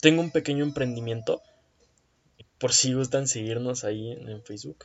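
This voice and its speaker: A man talks with a Mexican accent at a moderate pace. His medium-pitched voice is somewhat breathy, with fairly even intonation. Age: 20s. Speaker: podcast host, computer science student. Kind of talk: casual monologue.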